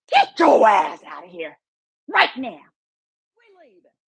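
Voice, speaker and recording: A woman puts on a booming character voice, fairly high in pitch with very wide pitch swings. Her tone is angry, and her pace is fairly slow. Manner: angry, commanding.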